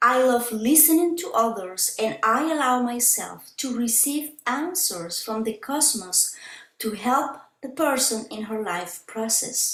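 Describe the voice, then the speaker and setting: With a Spanish accent, a woman speaks in a high pitch at a fairly slow pace, her intonation lively and the room echo audible. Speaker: spiritual healer. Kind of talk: website walkthrough presentation; explaining a website in a video call. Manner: halting. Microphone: webcam.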